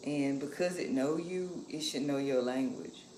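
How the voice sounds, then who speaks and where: A woman speaks at a moderate pace in a very deep, low pitch, with noticeable background noise and audible room echo. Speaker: livestreamer sharing lifestyle and cooking reflections. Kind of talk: casual livestream chat while cooking. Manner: soft-spoken, keeping quiet.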